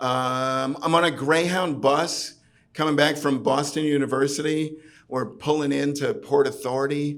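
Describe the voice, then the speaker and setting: A man with a New York accent talks at a moderate pace, his pitch fairly high. His intonation stays fairly even against noticeable background noise. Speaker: storyteller. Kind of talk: live storytelling performance. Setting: pub stage. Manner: garrulous.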